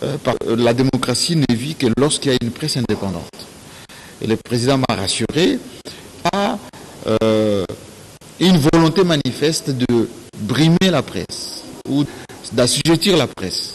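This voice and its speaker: Lively in intonation but fairly slow in pace, a man speaks with long, frequent pauses over light background noise. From DR Congo. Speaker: press union president. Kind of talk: interview statement. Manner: hesitant, many fillers. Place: office. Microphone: handheld.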